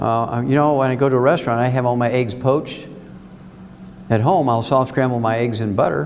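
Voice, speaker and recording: Audible room echo surrounds a man who talks at a very fast pace with a medium pitch and ordinary pitch variation. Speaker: health lecturer. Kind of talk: lecture. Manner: animated.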